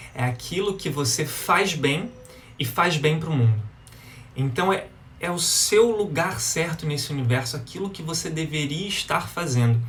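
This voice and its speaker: With a Brazilian accent and lively intonation, a man with a fairly high pitch talks at a moderate pace, with noticeable background noise and audible room echo. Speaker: live-stream self-development speaker. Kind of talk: live stream talk to viewers. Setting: Instagram live, outdoors in sunlight.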